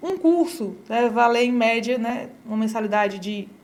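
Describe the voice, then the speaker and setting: This woman speaks at a fairly high pitch. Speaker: education company presenter. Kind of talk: sales pitch. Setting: studio. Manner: fast.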